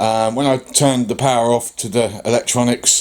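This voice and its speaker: Noticeable background noise sits behind a man's voice. He speaks at medium pitch with fairly even intonation. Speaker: DIY vehicle builder vlogger. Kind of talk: casual vlog talk.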